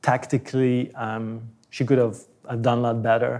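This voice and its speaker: Very slowly and in a flat monotone, a man with a Flemish accent talks in a dark, mellow tone. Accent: Belgian (Flemish) English. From Belgium. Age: 30s. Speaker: tennis coach. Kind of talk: interview. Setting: gym in an apartment building. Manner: halting, with many repetitions.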